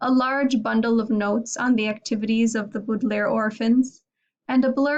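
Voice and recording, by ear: The text is read aloud in a natural voice, its intonation fairly even. Nothing stirs in the quiet background.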